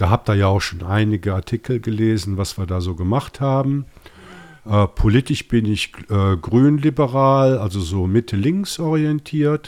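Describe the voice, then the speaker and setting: The voice carries a slight Rhineland accent. Its intonation is lively. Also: man, fairly low pitch for a man, fairly slow pace. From Rhineland, Germany (Bonn). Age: 50s. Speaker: podcast host, IT project manager. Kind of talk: casual chat.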